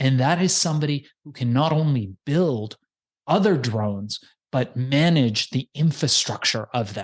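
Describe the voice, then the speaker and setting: This man speaks at a fairly slow pace with a medium pitch. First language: not English. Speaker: podcast agency founder. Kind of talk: podcast interview.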